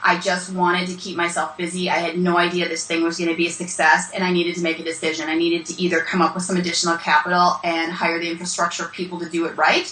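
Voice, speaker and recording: A woman speaks very fast with hardly any pauses, her fairly low voice monotone and flat. Noticeable background noise and audible room echo fill the recording. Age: 40s. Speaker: business speaker and brand consultant. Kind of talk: interview.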